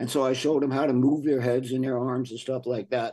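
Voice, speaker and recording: An American-accented man speaks quickly-ish, fairly quick in pace, with a dark, mellow tone at medium pitch against a quiet background. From New York suburbs (New Rochelle). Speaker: composer and arranger. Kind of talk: interview. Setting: remote from home.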